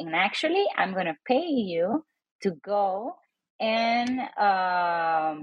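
Speaking at a very slow pace, a woman uses a medium pitch and lively intonation. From Puerto Rico (Old San Juan). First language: Spanish. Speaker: professor and author. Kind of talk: interview.

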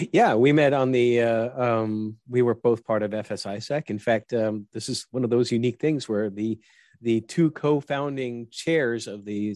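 The sound is dry and close with no echo, against a quiet background. It carries a normal speaking voice with ordinary pitch variation. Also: man. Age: 50s. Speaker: podcast host and army veteran. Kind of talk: interview.

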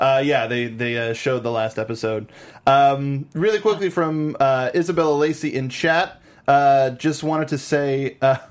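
An ordinary speaking voice from a man, pitched fairly high for a man, with ordinary pitch variation. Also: moderate pace. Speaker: TV aftershow host. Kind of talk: casual interview. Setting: studio.

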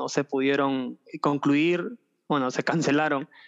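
Fairly slow pace and fairly even intonation, in a dry, close sound with no echo. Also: man. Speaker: rapper and history teacher. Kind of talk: casual interview. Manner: halting, many fillers.

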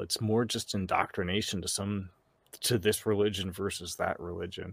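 In a very clean recording with a silent background, a man with an American accent and a plain, everyday voice speaks at a moderate pace and fairly low pitch. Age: 40s. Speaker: podcaster and homesteader. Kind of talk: casual chat.

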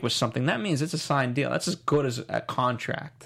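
A man speaks in a normal speaking voice with an American accent. His pitch is medium and his pace fairly quick. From New York, the Bronx. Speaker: TV aftershow host. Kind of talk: casual TV recap chat.

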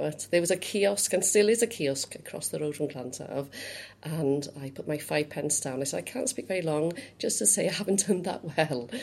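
Speaking in a Cardiff accent, a woman with a very deep, low pitch talks at a moderate pace with lively intonation. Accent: Welsh (Cardiff). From Wales, Cardiff. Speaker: youth organisation chief executive. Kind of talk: interview.

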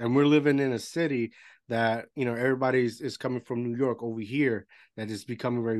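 With a Spanish accent, a man speaks at a fairly quick pace in a medium pitch, his intonation fairly even over a quiet background. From Puerto Rico. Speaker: podcast host. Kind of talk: casual interview. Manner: halting.

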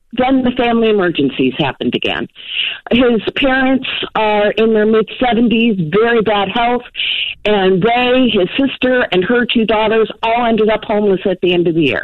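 A woman at a fairly high pitch, with ordinary pitch variation and noticeable background noise. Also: moderate pace, very even loudness. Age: 50s. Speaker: caller. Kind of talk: phone-in question. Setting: phone call.

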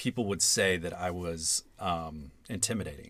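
A man with a Southern US accent speaks at a fairly slow pace. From Atlanta, Georgia. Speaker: guest. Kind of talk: casual chat. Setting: closet studio.

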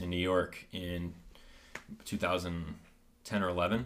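A man speaks in a Midwestern American accent with a very deep, low pitch and fairly even intonation. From rural north-central Ohio. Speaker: chiropractor. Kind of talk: casual interview chat. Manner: hesitant, many fillers.

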